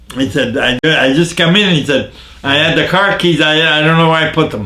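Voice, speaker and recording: Speaking at a fairly quick pace, a man with a northeastern Pennsylvania accent and fairly high pitch is heard over noticeable background noise and audible room echo. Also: ordinary pitch variation. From northeastern Pennsylvania, Jessup. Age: 90s. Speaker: elderly local resident interviewed on town history. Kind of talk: casual interview. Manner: halting, repeats words.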